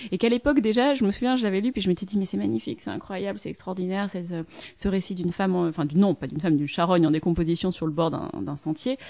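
This woman talks at a very fast pace with lively intonation. Her medium-pitched voice has a dark, mellow tone. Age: 30s. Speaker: author and translator. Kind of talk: interview.

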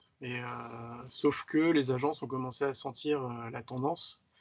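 This man has a plain, everyday voice at medium pitch, with fairly even intonation. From Paris region, France. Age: 30s. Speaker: motion designer. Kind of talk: casual interview.

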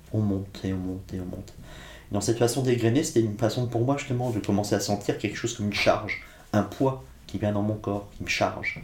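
Very fast speech with ordinary pitch variation and audible room echo. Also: man, fairly low pitch for a man. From France, Blois (Loire valley), Corsican family. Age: 50s. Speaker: philosopher and writer. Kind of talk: interview conversation. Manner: reflective, some hesitations.

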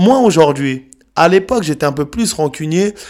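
This man's high voice moves with lively intonation at a moderate pace. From Paris suburbs, France. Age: 30s. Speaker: youth anti-violence speaker, author, former prisoner. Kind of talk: testimony.

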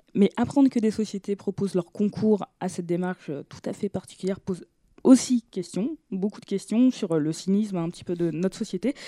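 With a dark, mellow tone and medium pitch, a woman talks at a moderate pace with ordinary pitch variation and big swings in loudness, recorded dry and close with no echo. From Brittany, France (Brest). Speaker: podcast host. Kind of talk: casual chat. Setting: studio.

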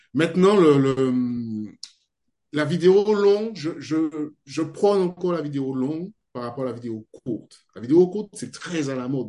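A man speaks fairly slowly with a fairly high pitch and a dark, mellow tone. His intonation is lively and his loudness swings widely. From French Guiana. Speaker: video editor and video trainer. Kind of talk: interview.

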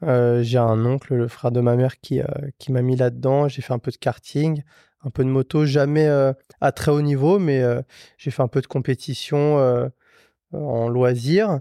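Over a quiet background, a man with a dark, mellow tone talks at a fairly slow pace, with fairly even intonation and long, frequent pauses. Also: medium pitch for a man, dry, close sound with no echo. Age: 30s. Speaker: motorcycle mechanic and garage owner. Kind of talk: casual chat. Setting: motorcycle workshop.

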